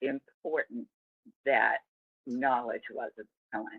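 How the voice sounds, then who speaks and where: A woman is speaking. She has an American accent. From US Northeast. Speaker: interviewee sharing life story. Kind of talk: interview.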